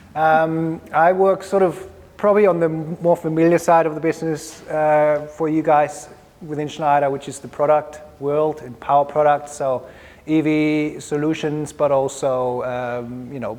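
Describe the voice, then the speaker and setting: A man with a German accent speaks at a fairly slow pace in a fairly high voice with fairly even intonation. His loudness swings a lot over noticeable background noise. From Germany. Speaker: electrical products specialist. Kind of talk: industry presentation.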